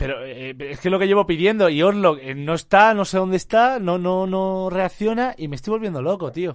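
This man speaks at a moderate pace with hardly any pauses. His voice is high and his intonation lively. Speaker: streamer. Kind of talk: live stream chat. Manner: animated.

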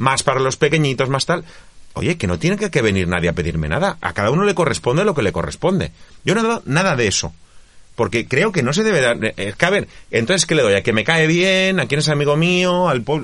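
Talking at a very fast pace, a man with a fairly high pitch and vocal fry makes very wide pitch swings while keeping his loudness very even. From Valencia region, Spain (Faura). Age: 40s. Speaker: provincial politician. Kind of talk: interview.

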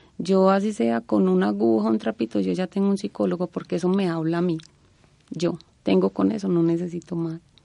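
At a fairly quick pace, a woman's fairly low, dark, mellow voice makes very wide pitch swings in a dry, close sound with no echo. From Colombia, Antioquia. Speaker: university department secretary. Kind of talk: interview.

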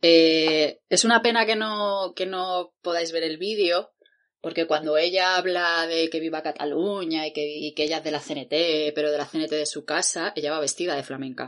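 Against a quiet background, a woman speaks at a moderate pace in a fairly low voice with ordinary pitch variation. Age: 30s. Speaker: podcast co-host, independent researcher. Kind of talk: casual chat.

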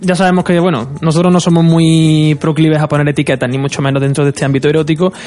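A man at a fairly high pitch and a very fast pace, with hardly any pauses, very even loudness, fairly even intonation and noticeable background noise. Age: 20s. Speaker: sexologist and radio co-host. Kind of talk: radio talk show discussion.

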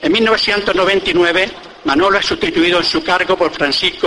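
Noticeable background noise sits behind a man who speaks fairly slowly at a high pitch, with fairly even intonation. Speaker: presenter introducing the orator. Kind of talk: formal introduction speech before a pregón. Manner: formal, measured.

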